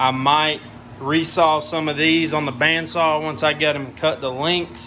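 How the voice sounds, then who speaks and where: A man with a Southern US accent speaks at a fairly slow pace in a fairly high pitch. His intonation is monotone and flat, and there is noticeable background noise. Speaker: woodworking YouTuber. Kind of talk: tutorial. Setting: workshop. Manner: casual.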